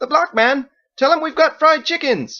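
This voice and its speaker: The voice is a high-pitched, put-on character voice. It moves at a moderate pace. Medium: read story.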